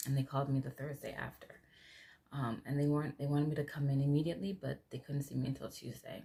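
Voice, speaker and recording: Soft-spoken and somewhat breathy, a woman with a very deep, low pitch talks at a very fast pace. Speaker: vlogger. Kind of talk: casual vlog talk.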